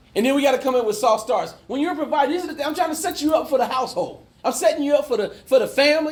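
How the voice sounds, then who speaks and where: With audible room echo, a man talks at a very fast pace in an extremely high pitch, his tone animated and his pitch variation ordinary. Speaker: life coach and mentor. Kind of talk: conference talk to a men's group. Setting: conference room with live audience.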